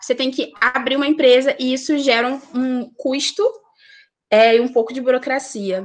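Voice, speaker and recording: A woman is speaking. Her pitch is high. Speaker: accountant. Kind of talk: presentation. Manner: fast; hesitant, many fillers.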